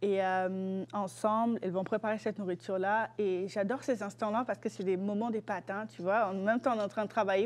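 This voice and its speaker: A woman speaks with a Congolese accent at a medium pitch. The background is quiet. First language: Lingala (speaking French). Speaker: student guest presenting a cultural object. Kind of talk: casual interview. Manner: hesitant, many fillers.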